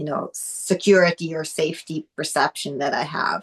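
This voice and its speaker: A woman with a non-native accent speaks at a fairly low pitch. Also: dry, close sound with no echo. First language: not English. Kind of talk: casual chat.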